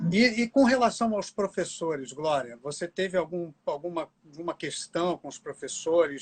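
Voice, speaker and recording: The speaker is a man with a fairly high pitch. He talks at a moderate pace with ordinary pitch variation. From Brazil. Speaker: interviewer, journalist. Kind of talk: interview. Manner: halting.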